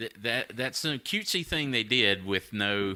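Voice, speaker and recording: A man with a fairly low pitch talks at a fairly slow pace, his tone bright and sharp and his intonation lively. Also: very clean recording, silent background. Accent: Southern US. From North Carolina, USA. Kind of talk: casual podcast banter, profane.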